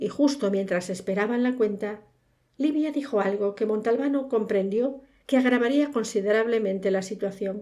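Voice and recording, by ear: A natural voice reading aloud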